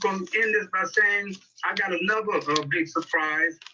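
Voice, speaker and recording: A man talks in a raised, projected voice. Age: 80s+. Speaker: sports talk show host and journalist. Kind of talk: casual storytelling. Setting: video call. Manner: animated.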